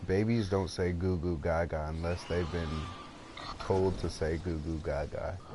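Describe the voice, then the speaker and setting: A man with a very deep, low pitch and a dark, mellow tone speaks at a fairly slow pace. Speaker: video game streamer. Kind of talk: casual gaming chat. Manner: deliberately lowered, put-on deep voice.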